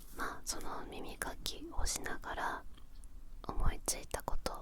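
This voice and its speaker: A woman whispers at a fairly slow pace in a relaxed tone, with noticeable background noise. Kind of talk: ASMR whispered chat. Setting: studio. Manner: soft-spoken, slow, relaxed.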